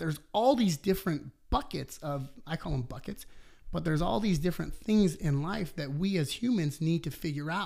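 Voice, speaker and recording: The speaker has a normal speaking voice with lively intonation. The recording is very clean, with a silent background. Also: man. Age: 30s. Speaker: personal trainer and business owner. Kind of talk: casual interview conversation.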